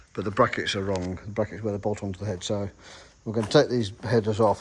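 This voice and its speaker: A man speaks with an English accent. His voice is fairly low and monotone, with flat intonation. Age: 50s. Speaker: stock car racer and vlogger. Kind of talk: casual vlog commentary.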